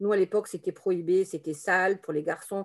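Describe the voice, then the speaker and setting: A woman speaks at medium pitch. Her voice has vocal fry. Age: 50s. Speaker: therapist. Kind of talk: testimony. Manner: halting.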